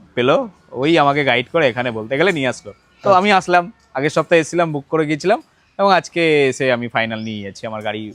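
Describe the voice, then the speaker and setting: A man's fairly high voice carries lively intonation, with big swings in loudness. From Barasat, West Bengal. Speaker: customer. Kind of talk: customer testimonial interview. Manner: halting.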